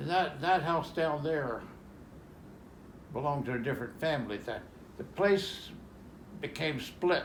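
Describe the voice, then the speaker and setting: This man has an Appalachian accent and ordinary pitch variation. He speaks at a very slow pace. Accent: Southern Appalachian American. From Roanoke, Virginia. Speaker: World War II veteran. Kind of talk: storytelling in family conversation.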